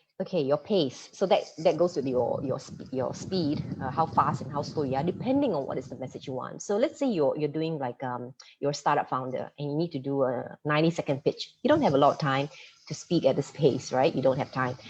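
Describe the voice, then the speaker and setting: A woman talks at a fairly quick pace with a very deep, low pitch and ordinary pitch variation. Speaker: presentation coach, former radio and TV presenter. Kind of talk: online masterclass talk. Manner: fast.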